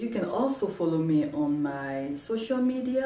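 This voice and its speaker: With a French accent, a woman's voice makes very wide pitch swings over music in the background and audible room echo. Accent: French-speaking. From Cameroon. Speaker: sewing tutorial youtuber. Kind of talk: tutorial. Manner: slow; halting.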